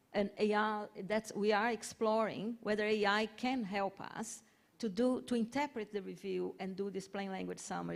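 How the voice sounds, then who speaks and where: The speaker has a Portuguese accent. The pace is moderate. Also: woman. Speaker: health research organisation head. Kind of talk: panel discussion.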